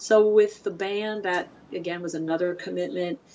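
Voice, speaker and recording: This woman talks at a moderate pace in a fairly low pitch, with an unremarkable speaking voice. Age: 50s. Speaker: print shop director and printmaker. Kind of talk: casual interview chat. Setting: studio, dog nearby. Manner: chatty, laughs often.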